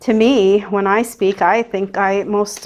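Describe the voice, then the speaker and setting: Her voice at a medium pitch, a woman with an American accent speaks with fairly even intonation. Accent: thick New Jersey accent, per others. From New Jersey. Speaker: baker. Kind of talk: tutorial. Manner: casual, chatty.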